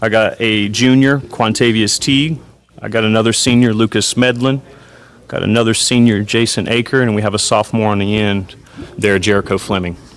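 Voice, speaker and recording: A man speaks at a fairly quick pace with a Southern US accent. His intonation stays fairly even over noticeable background noise. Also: medium pitch for a man. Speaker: high school football coach. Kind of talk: interview. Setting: hotel media day event.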